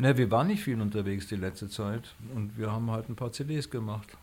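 A man talks with his pitch in the medium range. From Frankfurt, Germany. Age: 60s. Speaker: musician. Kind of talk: interview. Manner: modest, reserved.

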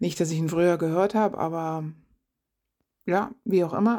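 Over a silent background in a very clean recording, a woman speaks at a moderate pace with medium pitch, ordinary pitch variation, and a dark, mellow tone. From eastern Germany. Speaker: podcast co-host. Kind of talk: casual monologue.

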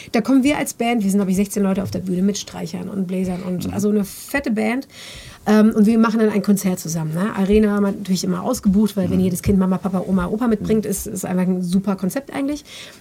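Noticeable background noise sits behind a woman talking at a very fast pace. Her pitch is medium, with ordinary variation. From Germany, near Bielefeld/Detmold (East Westphalia). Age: 30s. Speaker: backing singer. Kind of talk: casual chat.

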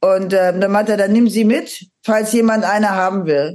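At a fairly slow pace, a plain, everyday voice keeps its intonation fairly even. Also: woman. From Aachen, western Germany. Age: 50s. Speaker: metal singer and psychotherapist. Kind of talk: casual interview chat.

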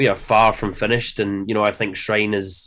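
Fairly low-pitched male voice with a Scottish accent, on a very clean recording with a silent background. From Scotland. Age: 30s. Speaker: metal drummer. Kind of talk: interview.

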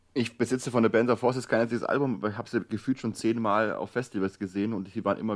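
On a very clean recording with a silent background, a man speaks at a very fast pace. His pitch is fairly low, with ordinary variation. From Swabia. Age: 30s. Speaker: newspaper editor, co-host. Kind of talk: casual chat.

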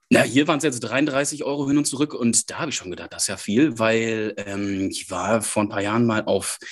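A man with a northern German accent, medium pitch and lively intonation, at a moderate pace against a quiet background. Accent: sounds northern German. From Germany, Münsterland. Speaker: podcast co-host, newsletter writer. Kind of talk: casual chat.

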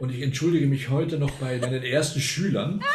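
The intonation stays fairly even while noticeable background noise and audible room echo surround it. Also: man. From Argentina. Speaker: retired music professor and baroque flutist. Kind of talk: casual interview.

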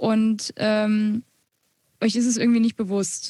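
A somewhat breathy woman talks at a fairly high pitch in a dry, close sound with no echo. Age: 20s. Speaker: music student and blogger, podcast co-host. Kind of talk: casual podcast conversation.

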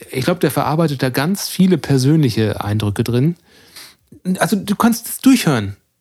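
A man speaks at a fairly high pitch in a somewhat breathy voice. His pace is moderate, and his pitch swings very widely. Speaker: podcast co-host. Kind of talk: casual chat.

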